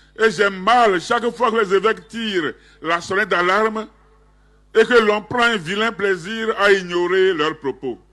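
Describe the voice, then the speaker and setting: A man's raised, projected voice, high in pitch and bright, sharp in tone, with ordinary pitch variation at a fairly slow pace against a quiet background. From Togo. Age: 70s. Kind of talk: public statement. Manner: formal.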